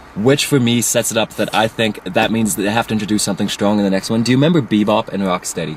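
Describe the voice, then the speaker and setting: Noticeable background noise sits behind a man with a fairly low pitch and ordinary pitch variation. He talks at a very fast pace with hardly any pauses. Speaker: online video reviewer. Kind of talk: casual chat. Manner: animated.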